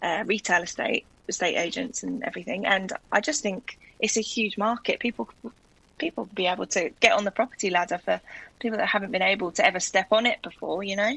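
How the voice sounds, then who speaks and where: With a South London accent, a woman talks at a very fast pace, her intonation lively and her voice showing vocal fry. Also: medium pitch for a woman. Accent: gentle South London. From South London, England. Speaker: guest raffling her house. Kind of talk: casual chat.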